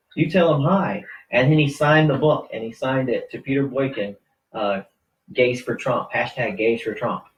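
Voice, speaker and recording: A man with an American accent, a fairly high pitch and a somewhat breathy voice. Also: lively intonation, moderate pace. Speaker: political radio host and activist. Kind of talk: casual interview chat. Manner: animated.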